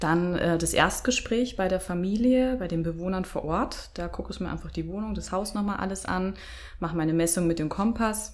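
Audible room echo surrounds the voice. It speaks at a moderate pace with ordinary pitch variation. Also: woman, medium pitch for a woman. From Bavaria, Germany. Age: 30s. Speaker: feng shui consultant. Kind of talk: interview.

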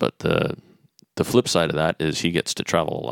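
This man talks at a moderate pace with an American accent and vocal fry. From Netherlands and US, mostly US. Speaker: lighting designer. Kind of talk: interview. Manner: halting.

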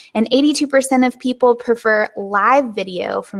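A woman talks in a relaxed tone with a Southern US accent and ordinary pitch variation. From US South. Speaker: webinar and business podcast host. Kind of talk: casual educational talk, live stream. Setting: live stream recording. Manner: conversational, relaxed, unscripted.

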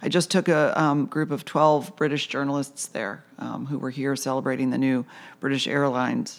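The recording is very clean, with a silent background. A woman with an American accent talks in a very deep, low pitch with vocal fry. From Michigan (Lapeer), US Midwest. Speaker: public relations firm owner. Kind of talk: interview conversation.

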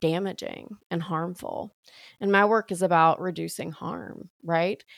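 Recorded very cleanly against a silent background, with a dry, close sound and no echo, a woman speaks at a medium pitch and fairly slow pace in a strong Southern US accent. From US South, Alabama. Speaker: priest and sobriety coach. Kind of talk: interview conversation. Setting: podcast recording.

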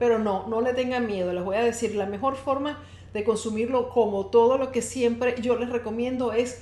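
Amid audible room echo, a woman speaks in a high, animated tone with ordinary pitch variation. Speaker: health podcast host and wellness coach. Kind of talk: live-streamed solo podcast talk. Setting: live stream.

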